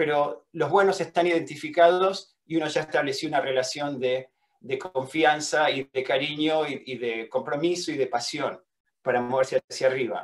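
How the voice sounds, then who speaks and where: This man speaks at a fairly high pitch and moderate pace, with ordinary pitch variation. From Argentina. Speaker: welding engineering professor. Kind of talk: lecture. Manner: halting, with many fillers and repetitions.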